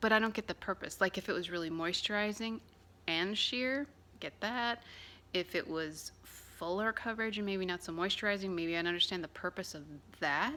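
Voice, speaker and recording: In a very clean recording with a silent background, a soft-spoken woman with a bright, sharp tone speaks at a medium pitch and moderate pace, using ordinary pitch variation. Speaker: beauty vlogger. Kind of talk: product review. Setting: at home. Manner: casual, hesitant with fillers.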